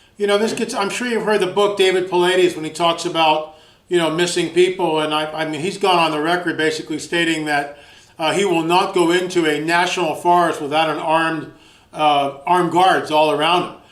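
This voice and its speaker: A man's high voice at a fairly quick pace, with fairly even intonation and audible room echo. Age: 60s. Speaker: radio host. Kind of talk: interview. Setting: radio show.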